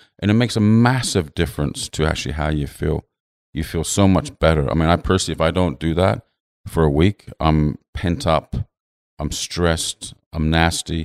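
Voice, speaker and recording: On a very clean recording with a silent background, the voice has an English accent and ordinary pitch variation. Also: man, very deep, low pitch for a man, moderate pace, dry, close sound with no echo. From England. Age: 50s. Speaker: designer. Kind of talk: casual interview. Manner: halting.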